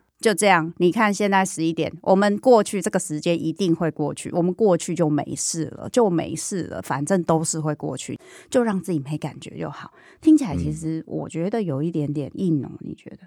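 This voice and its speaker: At a moderate pace, a woman with a fairly low pitch and ordinary pitch variation shows big swings in loudness, recorded very cleanly against a silent background. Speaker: podcast host and psychologist. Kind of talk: casual interview chat. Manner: animated.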